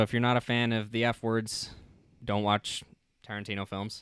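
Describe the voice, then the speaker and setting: A normal speaking voice from a man, medium in pitch, at a moderate pace, in a very clean recording with a silent background. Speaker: film review podcast host. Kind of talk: casual chat. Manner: casual, filler-heavy.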